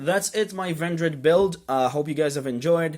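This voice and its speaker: Talking at a fairly slow pace, a man with a non-native accent uses a fairly high pitch and ordinary pitch variation. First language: not English. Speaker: YouTuber, card game deck profiler. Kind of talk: casual tutorial. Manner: hesitant, many fillers.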